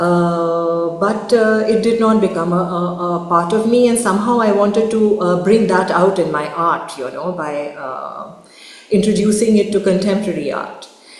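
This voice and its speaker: Over noticeable background noise with audible room echo, a woman talks at a moderate pace with ordinary pitch variation. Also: medium pitch for a woman. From India. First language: Urdu. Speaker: artist. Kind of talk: talk with slides. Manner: halting, many fillers.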